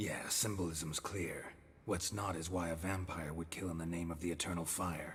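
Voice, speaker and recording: A put-on character voice, flat and monotone, at a moderate pace against clear background noise. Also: man, very deep, low pitch for a man. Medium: video game. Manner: terse, dry.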